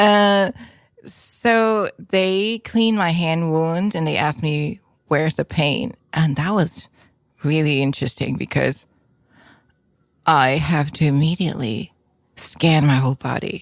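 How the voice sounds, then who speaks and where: Against a very clean recording with a silent background, a woman with a very deep, low pitch and lively intonation speaks at a fairly slow pace with long, frequent pauses. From Hong Kong. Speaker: painter and musician. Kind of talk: casual interview chat.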